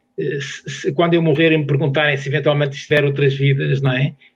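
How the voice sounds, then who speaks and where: A man with a fairly high, somewhat breathy voice talks at a very fast pace in a monotone, flat intonation. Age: 60s. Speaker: sports science professor. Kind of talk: casual chat.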